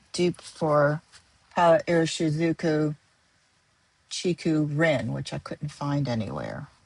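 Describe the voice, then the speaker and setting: A soft-spoken woman talks at a very slow pace with a very deep, low pitch. The sound is dry and close, with no echo. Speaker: stationery and ink hobbyist vlogger. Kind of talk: casual tutorial demo. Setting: home studio. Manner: hesitant, thinking aloud.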